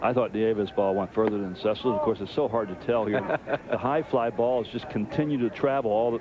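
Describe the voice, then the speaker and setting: A man talks at a fairly quick pace in a medium pitch with ordinary pitch variation. There is noticeable background noise. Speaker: baseball color commentator. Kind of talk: baseball color commentary.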